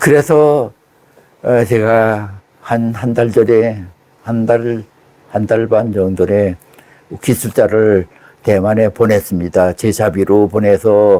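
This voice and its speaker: At a very slow pace with long, frequent pauses, a man talks in a fairly low, dark and mellow voice with fairly even intonation. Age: 80s+. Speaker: former intelligence officer. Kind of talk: interview.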